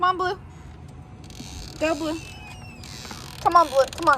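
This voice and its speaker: Amid noticeable background noise, a woman with extremely high pitch uses a raised, projected voice, with big swings in loudness and long, frequent pauses. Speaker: vlogger. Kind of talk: casual vlog chat. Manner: yelling at dogs.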